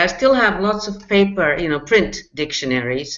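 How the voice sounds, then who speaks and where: Keeping a moderate pace, the speaker talks with a non-native accent. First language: not English. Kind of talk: casual chat.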